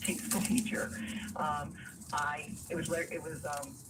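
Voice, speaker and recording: A woman's voice swings very widely in pitch. Audible room echo and noticeable background noise are present. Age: 60s. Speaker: caller. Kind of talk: call-in radio advice.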